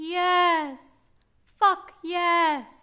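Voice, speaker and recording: In a put-on character voice, a woman squeaks at an extremely high pitch with fairly even intonation. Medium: stage play. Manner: theatrical, superior.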